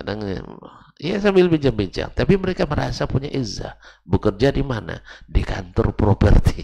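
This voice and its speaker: The speech moves at a moderate pace. Pitch swings very widely throughout. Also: man. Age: 50s. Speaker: Islamic preacher. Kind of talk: religious lecture. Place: church. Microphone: headset.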